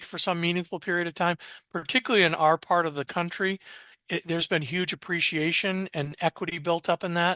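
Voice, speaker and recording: A high-pitched man with a bright, sharp tone, fairly quick pace, and dry, close sound with no echo over a quiet background. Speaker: estate planning attorney. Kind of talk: webinar presentation. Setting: webinar. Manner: fast.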